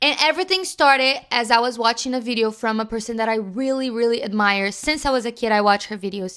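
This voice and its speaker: A woman's fairly high, bright and sharp voice with ordinary pitch variation at a fairly quick pace, on a very clean recording with a silent background. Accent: Brazilian Portuguese. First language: Portuguese. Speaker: youtuber. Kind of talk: casual vlog talk.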